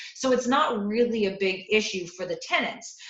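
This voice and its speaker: Against noticeable background noise, a woman talks at a medium pitch with ordinary pitch variation. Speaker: landlord advocate. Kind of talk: panel discussion. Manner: fast.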